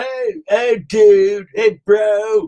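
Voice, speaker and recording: A man's put-on character voice, high in pitch. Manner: laid-back, relaxed.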